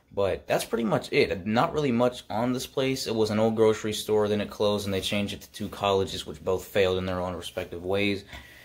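Talking very fast with hardly any pauses, a man uses a fairly low pitch and ordinary pitch variation. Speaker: urban exploration vlogger. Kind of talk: casual vlog chat. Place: home room. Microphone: phone near.

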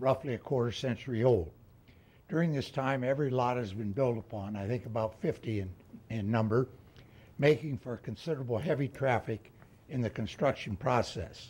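A man's somewhat breathy voice with a dark, mellow tone moves at a moderate pace. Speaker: resident giving public comment. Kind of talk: public comment statement. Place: hall. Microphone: podium.

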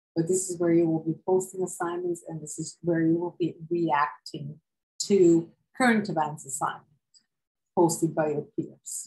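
A woman with a Serbian accent speaks at a fairly low pitch and a moderate pace, somewhat breathy. Her intonation is fairly even over a quiet background. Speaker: university professor. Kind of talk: lecture. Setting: video lecture with screen share. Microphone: webcam.

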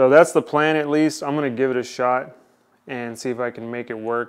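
A man's speech moves along at a moderate pace. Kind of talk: tutorial. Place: garage.

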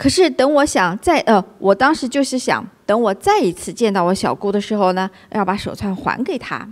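A normal speaking voice from a woman, fairly high in pitch, moves at a moderate pace. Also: lively intonation. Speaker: co-host. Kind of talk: livestream chat.

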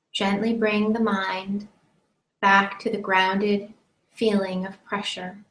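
Very slowly and in a flat monotone, a woman speaks with audible room echo and light background noise. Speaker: meditation teacher. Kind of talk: guided meditation. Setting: live-streamed online session. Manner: slow, calm, soothing, with long pauses between gentle instructions; soft-spoken. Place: home room. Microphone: webcam.

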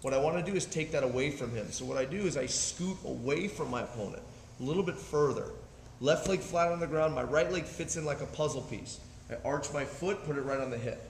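A man at a fairly quick pace with ordinary pitch variation, audible room echo, and light background noise. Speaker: martial arts instructor. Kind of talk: tutorial. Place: gym. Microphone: camera far.

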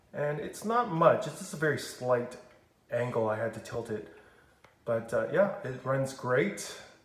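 A man speaks with big swings in loudness. His voice carries audible room echo. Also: fairly slow pace. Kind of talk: casual vlog chat. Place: home room. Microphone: phone near.

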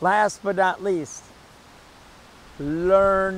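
The recording is dry with no echo and carries light background noise. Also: man. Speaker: pickleball coach. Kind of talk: tutorial. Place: stadium.

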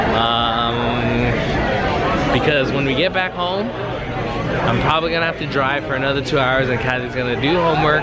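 A man's voice, dry sound with no echo, crowd noise in the background. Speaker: vlogger. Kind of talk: casual vlog chat. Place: street. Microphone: phone near.

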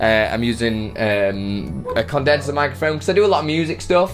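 Clearly audible background music behind a man talking at a medium speed. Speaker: streaming tutorial creator. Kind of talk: tutorial. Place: home room. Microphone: studio mic.

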